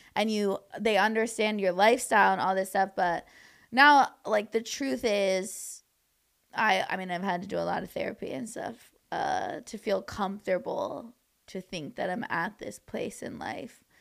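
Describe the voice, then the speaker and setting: Against a silent background in a very clean recording, a woman with an American accent talks at a moderate pace in a medium-pitched voice, showing vocal fry, ordinary pitch variation and big swings in loudness. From Southern California, Orange County. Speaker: comedian. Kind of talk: casual chat.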